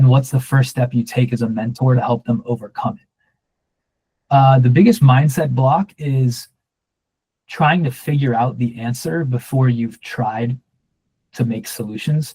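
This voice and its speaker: Speaking at a fairly slow pace with long, frequent pauses, a man has a medium pitch and a dark, mellow, somewhat breathy tone. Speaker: short-form video coach. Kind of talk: workshop Q&A. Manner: monotone; casual.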